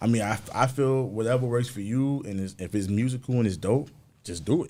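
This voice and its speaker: This man talks at a fairly quick pace in a New York accent, with medium pitch and ordinary pitch variation. His tone is dark and mellow. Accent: New York (Bronx). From New York, the Bronx. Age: 30s. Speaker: musician and producer. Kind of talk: casual interview.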